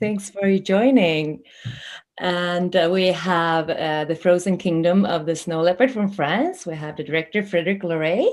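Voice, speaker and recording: A quiet background under ordinary pitch variation. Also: woman, moderate pace. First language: not English. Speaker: festival interview host. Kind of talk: interview hosting.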